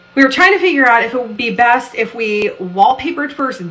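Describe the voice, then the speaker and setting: Lively intonation marks this woman's moderate pace. Audible room echo and noticeable background noise are present. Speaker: home decor vlogger. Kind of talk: casual vlog talk. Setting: bathroom.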